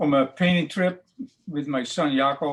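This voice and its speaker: A man with a Dutch accent speaks at a fairly slow pace and a fairly high pitch. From Netherlands. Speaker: painter. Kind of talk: interview. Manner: halting.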